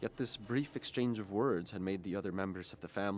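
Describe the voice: In plain reading aloud, the speaker's pitch shows ordinary variation.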